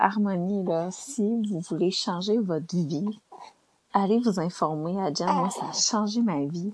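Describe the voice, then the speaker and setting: At a very slow pace, a woman speaks with a Quebec accent. Her pitch is medium, with ordinary variation. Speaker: podcaster. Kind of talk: casual monologue. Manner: animated.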